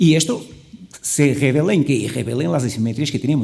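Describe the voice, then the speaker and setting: Somewhat breathy and fairly high in pitch, a man's voice carries a dark, mellow tone. He speaks at a very fast pace. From Portugal. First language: Portuguese (speaking Spanish). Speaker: panelist at medical conference. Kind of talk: panel discussion.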